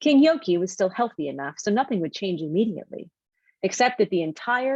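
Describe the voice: Lively intonation in plain reading aloud, the background quiet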